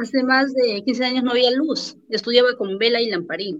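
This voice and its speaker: In a high pitch, a woman talks at a fairly slow pace. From Peru, Amazon jungle region. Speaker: lawyer and real estate agent. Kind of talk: interview.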